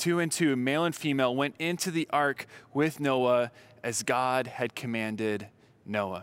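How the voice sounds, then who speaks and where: A man with an unremarkable speaking voice talks at a medium pitch with ordinary pitch variation. The recording is very clean, with a silent background. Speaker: preacher. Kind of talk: sermon with scripture reading. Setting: church. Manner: clear, formal expository delivery.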